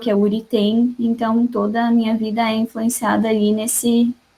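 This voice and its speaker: A woman's fairly high-pitched, somewhat breathy voice at a moderate pace. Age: 20s. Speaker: psychology student in study group. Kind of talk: casual self-introduction. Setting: video call.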